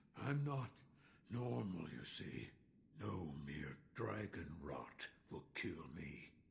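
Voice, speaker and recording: A man's growling, put-on character voice, very deep and low, at a very slow pace with long, frequent pauses and very wide pitch swings. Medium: video game. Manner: gruff, terse.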